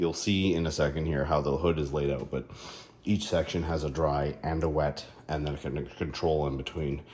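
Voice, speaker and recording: Audible room echo surrounds a man whose very deep, low voice is dark and mellow with vocal fry, moving at a moderate pace. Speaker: car care YouTuber. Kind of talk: product review tutorial. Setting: home garage. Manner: casual, hesitant with fillers.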